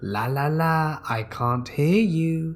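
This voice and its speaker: Putting on a character voice, a man cackles. His pitch sits fairly high. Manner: wickedly evil, mocking.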